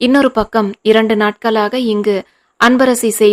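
The intonation is fairly even in an unforced reading voice. Little sound intrudes, as the background is quiet.

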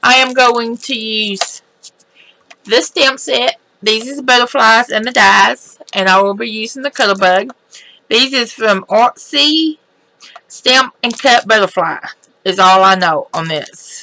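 The intonation is lively. The tone is bright and sharp. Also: woman. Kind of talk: tutorial.

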